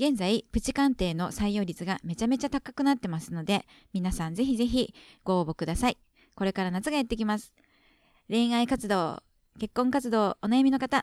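A woman with a Kansai accent speaks at a fairly quick pace, her pitch fairly high and her intonation lively. The recording is very clean and dry, close-up with no echo and a silent background. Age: middle-aged. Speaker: podcast co-host. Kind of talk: program announcements.

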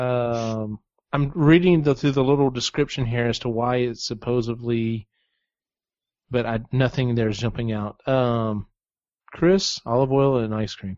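A man's medium-pitched, ordinary speaking voice with an American accent and ordinary pitch variation. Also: fairly slow pace. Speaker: podcast host. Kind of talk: casual chat.

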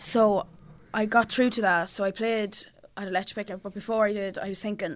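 A woman with a Cavan accent talks at a fairly quick pace, her medium pitch carried by fairly even intonation. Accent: Irish, Cavan. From Ireland, County Cavan. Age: 20s. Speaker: singer-songwriter. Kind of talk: casual chat. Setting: studio.

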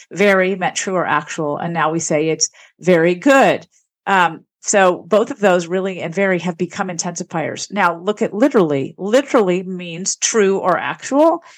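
On a very clean recording with a silent background, a woman with an American accent speaks at a moderate pace and medium pitch, her pitch varying in an ordinary way. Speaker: linguistics professor. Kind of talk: interview.

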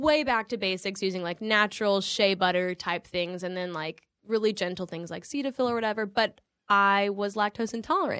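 A woman with a slight Southern US accent, bright, sharp tone and medium pitch, ordinary pitch variation and a fairly quick pace, on a very clean recording with a silent background. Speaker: actress. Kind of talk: casual chat.

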